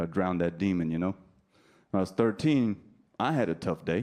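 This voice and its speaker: Against a quiet background, a man with a New Jersey accent talks at a fairly quick pace in a very deep, low pitch and a dark, mellow tone. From New Jersey, US. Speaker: stand-up comedian. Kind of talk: stand-up. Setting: stage with audience.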